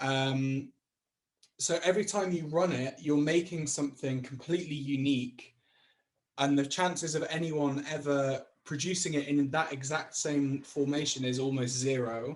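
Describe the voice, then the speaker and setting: A man with a northwest English accent, fairly high in pitch, at a moderate pace and with fairly even intonation. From Chester, England. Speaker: creative technologist. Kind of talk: interview answer. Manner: casual, hesitant.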